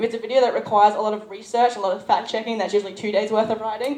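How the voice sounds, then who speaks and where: There is noticeable background noise behind this woman. She speaks at a fairly high pitch with fairly even intonation. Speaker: YouTuber, convention panelist. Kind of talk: convention panel talk. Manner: fast.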